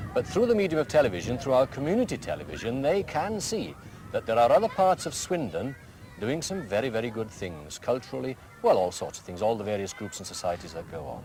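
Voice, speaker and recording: The speech is very fast, with very wide pitch swings and big swings in loudness. Background noise is noticeable. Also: man, medium pitch for a man. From Wales. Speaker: school headmaster. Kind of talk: interview.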